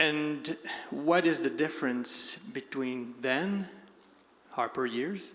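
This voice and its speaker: A man with a fairly high pitch and ordinary pitch variation talks at a very slow pace. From Quebec. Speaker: audience member. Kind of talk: audience question. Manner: halting. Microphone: too far from the mic.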